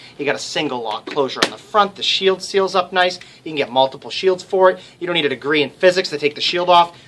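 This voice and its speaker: Over noticeable background noise, a man moves at a fairly quick pace, his pitch shifting in an ordinary way. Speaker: shop salesman. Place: shop. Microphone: headset.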